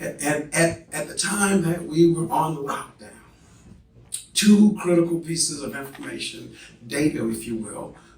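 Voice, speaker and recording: A man's fairly high, animated voice amid noticeable background noise and audible room echo. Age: 60s. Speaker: professor. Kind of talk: lecture.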